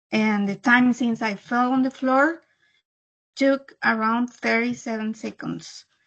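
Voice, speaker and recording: A Spanish accent, a fairly slow pace and ordinary pitch variation over a quiet background. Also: woman, high pitch for a woman. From El Salvador. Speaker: disease survivor. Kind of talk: testimony. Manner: halting.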